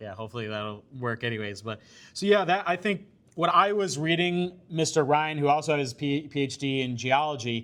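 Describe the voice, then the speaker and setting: Recorded very cleanly with a silent background, a man talks fairly quickly at a fairly high pitch with lively intonation. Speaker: scientist and political candidate. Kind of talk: public presentation. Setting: community meeting with audience. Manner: loud; hesitant, many fillers.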